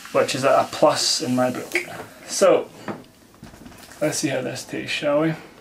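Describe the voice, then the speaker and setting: A man's moderately paced speech, broken by long, frequent pauses, comes through noticeable background noise. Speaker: vodka reviewer. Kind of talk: product review. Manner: casual, conversational.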